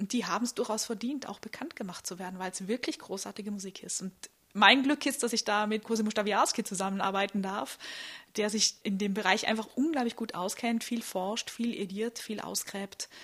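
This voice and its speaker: A woman talks at a moderate pace in a normal speaking voice. Her pitch is fairly high, with ordinary pitch variation. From Austria, Vorarlberg (Bregenz). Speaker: soprano singer. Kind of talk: interview. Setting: historic building at a festival.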